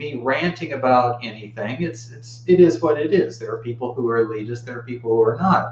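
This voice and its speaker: Moderately paced male speech against noticeable background noise. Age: 50s. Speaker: Buddhist video blogger. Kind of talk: personal video monologue. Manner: casual, conversational.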